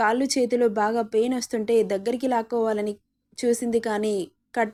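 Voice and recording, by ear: Someone is reading aloud in a natural voice with fairly even intonation. The background is quiet.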